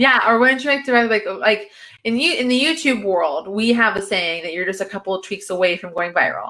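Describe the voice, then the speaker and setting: Animated and lively in intonation, a woman speaks in a fairly high voice. Her pace is fairly quick. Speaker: social media marketing consultant. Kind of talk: interview. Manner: fast.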